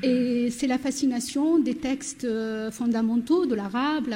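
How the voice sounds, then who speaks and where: A woman speaks at a high pitch and a fairly slow pace, with ordinary pitch variation. Noticeable background noise runs behind her. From southern Morocco, Berber oasis village. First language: Berber (Amazigh) (speaking French). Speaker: novelist. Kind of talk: panel discussion.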